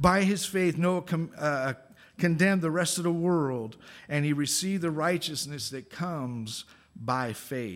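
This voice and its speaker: Recorded very cleanly against a silent background, a man with a plain, everyday voice speaks at a fairly slow pace, his fairly high pitch showing ordinary variation. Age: 50s. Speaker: guest preacher. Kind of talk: sermon.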